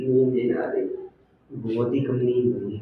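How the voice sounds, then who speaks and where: Audible room echo surrounds the recording. A man talks at a medium pitch. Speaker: YouTuber doing challenge videos. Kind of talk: vlog, casual chat.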